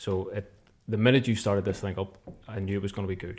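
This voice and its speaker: The speaker has a Belfast accent and fairly even intonation. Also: man. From Belfast, Northern Ireland. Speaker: musician and translator. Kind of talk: casual podcast chat.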